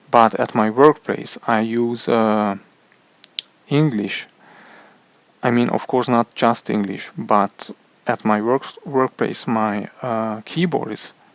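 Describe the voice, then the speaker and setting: A man with a Hungarian accent at a medium pitch, very slow pace, fairly even intonation, and long, frequent pauses. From Hungary. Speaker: tech youtuber. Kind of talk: product review. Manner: halting, many repetitions and fillers.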